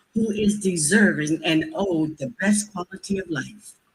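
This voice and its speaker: A somewhat breathy, medium-pitched woman's voice with an American accent. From US. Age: 70s. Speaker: public commenter, healthcare professional. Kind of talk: public comment at government hearing. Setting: public meeting.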